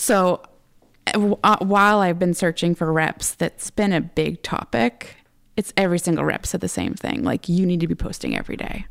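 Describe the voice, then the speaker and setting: A woman's normal speaking voice, fairly low in pitch, with ordinary pitch variation at a moderate pace, in a dry, close sound with no echo. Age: 30s. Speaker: photographer. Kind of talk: interview.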